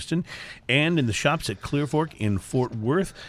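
The voice moves through very wide pitch swings. The recording is very clean, with a silent background. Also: man. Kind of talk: radio DJ patter. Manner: upbeat, chatty, easygoing host.

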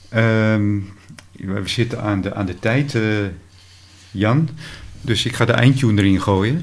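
Speaking at a very slow pace with long, frequent pauses, a man with a fairly low pitch is heard amid audible room echo and noticeable background noise. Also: ordinary pitch variation. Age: 60s. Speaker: podcast host and radio hobbyist. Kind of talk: casual interview. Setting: at the guest's home.

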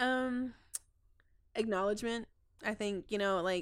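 Speaking with an American accent, a woman talks at medium pitch with ordinary pitch variation. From Texas. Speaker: community outreach coordinator. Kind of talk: casual interview. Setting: studio. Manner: halting.

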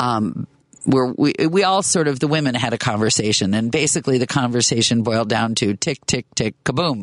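At a moderate pace and very even loudness, a man with an ordinary speaking voice talks at a medium pitch with lively intonation in a dry, close sound with no echo. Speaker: guest radio host. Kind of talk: talk radio interview. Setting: radio studio.

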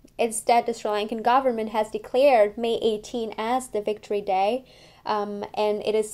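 On a very clean recording with a silent background, a woman speaks at a moderate pace in a fairly high voice with a dark, mellow tone and monotone, flat intonation. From France. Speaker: artist and history doctoral student. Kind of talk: personal testimony and historical account. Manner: hesitant, many fillers.

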